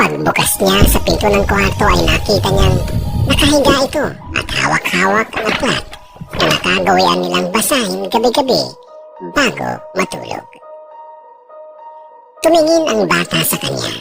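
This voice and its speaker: Loud music plays in the background. Over it, a put-on character voice moves at a moderate pace. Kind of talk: horror narration. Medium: read story.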